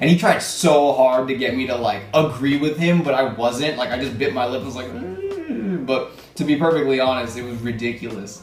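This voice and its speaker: A man with an American accent speaks at a moderate pace and medium pitch, with ordinary pitch variation and hardly any pauses. Audible room echo and music in the background accompany him. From Southern California. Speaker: YouTuber. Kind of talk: casual Q&A monologue.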